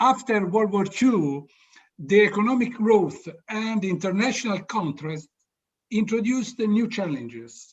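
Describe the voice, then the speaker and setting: A man with a high pitch and an Italian accent speaks at a fairly slow pace with ordinary pitch variation. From Italy. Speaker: orchestra board member, panel speaker. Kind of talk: opening address. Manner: halting.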